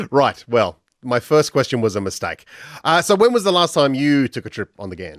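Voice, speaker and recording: At a fairly quick pace, a man with a South Australian accent and a medium pitch makes very wide pitch swings, in a very clean recording with a silent background and a dry, close sound with no echo. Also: big swings in loudness. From Australia, Adelaide. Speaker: radio host. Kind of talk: radio interview.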